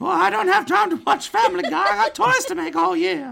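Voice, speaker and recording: Putting on a character voice, a man speaks at an extremely high pitch and a fairly quick pace, with very wide pitch swings. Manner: chirpy, folksy, earnest.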